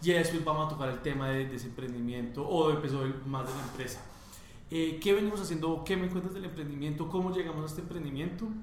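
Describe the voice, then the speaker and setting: Amid noticeable background noise and audible room echo, a man talks at a very fast pace with a fairly high pitch and ordinary pitch variation. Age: 20s. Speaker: entrepreneur, chocolate company co-founder. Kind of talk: interview.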